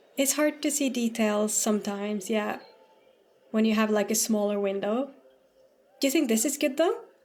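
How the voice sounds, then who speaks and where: A woman with a slight Norwegian accent speaks at a fairly high pitch with ordinary pitch variation. Her speech has long, frequent pauses. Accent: slight Norwegian lilt. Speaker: streamer. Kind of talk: casual gaming stream chat. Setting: live stream. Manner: halting.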